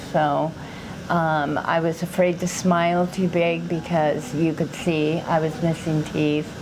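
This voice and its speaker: Delivered at a fairly slow pace, the speech has very even loudness and a monotone, flat intonation. Background noise is noticeable. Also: woman, fairly low pitch for a woman. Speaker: dental patient. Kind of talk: testimonial interview.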